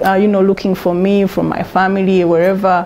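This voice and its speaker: A woman speaks with a Ugandan accent. Noticeable background noise runs beneath her. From Uganda, Kampala. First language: Luganda. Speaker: interview guest sharing life story. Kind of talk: testimony.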